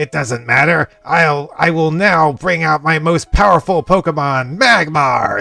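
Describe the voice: Using a put-on character voice, a man speaks fairly slowly at a fairly high pitch, hardly pausing at all.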